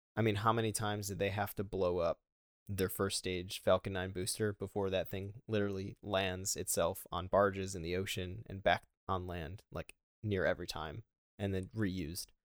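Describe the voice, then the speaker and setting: In a very clean recording with a silent background and a dry, close sound with no echo, a man with a Western New York accent speaks at a moderate pace and a fairly low pitch in a flat monotone. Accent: Western New York (Inland North) American. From Buffalo, New York, US. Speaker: Air Force officer, manufacturing engineer. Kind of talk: casual interview.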